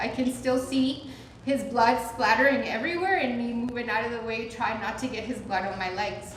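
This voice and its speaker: A woman talks at a moderate pace with a fairly high pitch. Noticeable background noise and audible room echo fill the recording. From Colombia, Medellin. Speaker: storyteller. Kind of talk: storytelling performance.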